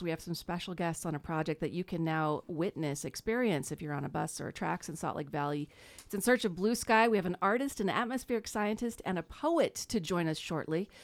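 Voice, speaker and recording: A woman with a normal speaking voice talks at a medium pitch with lively intonation and hardly any pauses. The recording is very clean, with a silent background. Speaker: radio co-host. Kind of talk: radio talk show.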